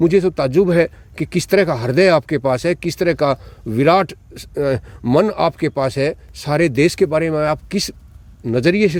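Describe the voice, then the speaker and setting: Here is an unremarkable speaking voice with ordinary pitch variation. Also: man. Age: 60s. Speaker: retired college principal. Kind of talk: interview.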